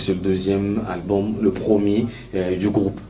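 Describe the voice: Speaking at a fairly slow pace with little pitch movement, a man has a dark, mellow tone and audible room echo around him. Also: fairly low pitch for a man.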